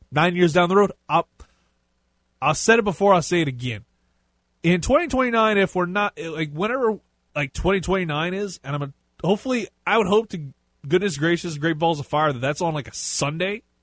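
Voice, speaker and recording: Animated in tone, a man speaks at a fairly quick pace with lively intonation and a high pitch, in a dry, close sound with no echo. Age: 30s. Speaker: sports radio host. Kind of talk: sports talk radio show. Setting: radio studio.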